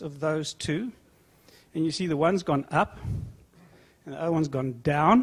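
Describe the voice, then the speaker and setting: In a very clean recording with a silent background, a man with a South African accent speaks at a fairly high pitch. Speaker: food company executive. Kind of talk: conference panel discussion.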